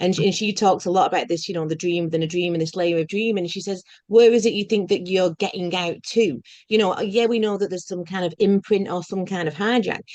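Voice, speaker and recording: A woman talks at a very fast pace in a Lancashire accent. Her intonation stays fairly even. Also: medium pitch for a woman. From northern England, Bolton. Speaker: podcast host. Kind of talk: casual spiritual conversation.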